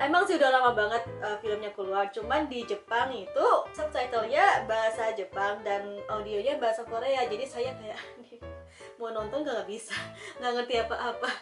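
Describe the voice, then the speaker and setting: Over clear music in the background, a woman with a fairly high pitch talks at a moderate pace with ordinary pitch variation. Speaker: home video creator. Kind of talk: casual talk to camera. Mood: cheerful, animated. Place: home room.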